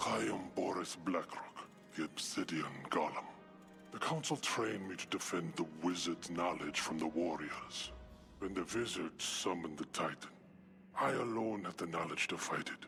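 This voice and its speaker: Over clear background music, a man uses a put-on character voice with a very deep, low pitch, speaking at a moderate pace in a solemn tone. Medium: video game. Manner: solemn, formal.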